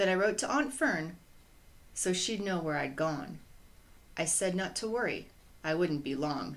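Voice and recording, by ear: A woman with a fairly low voice talks at a fairly slow pace with lively intonation, her words carrying audible room echo.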